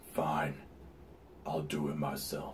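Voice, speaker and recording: Over clear background noise, a man puts on a character voice pitched very deep and low. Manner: menacing.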